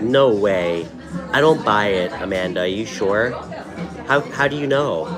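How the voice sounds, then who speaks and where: Over music in the background, a man with a fairly low pitch and lively intonation talks at a fairly slow pace with long, frequent pauses, and audible room echo surrounds his voice. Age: 30s. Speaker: tarot reader, live stream host. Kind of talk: live stream chat with viewers. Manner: casual, with many filler ums.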